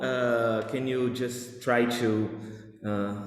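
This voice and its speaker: A man at medium pitch with a non-native accent, amid audible room echo and noticeable background noise. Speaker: conference panel chair. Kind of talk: academic panel moderation. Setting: video call. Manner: halting, many fillers.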